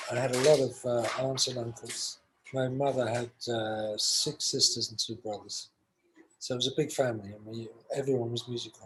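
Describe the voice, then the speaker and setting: A man with a medium pitch speaks in a London accent at a moderate pace. His intonation is monotone and flat, with big swings in loudness. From London, England. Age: 60s. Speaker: session guitarist. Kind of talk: interview.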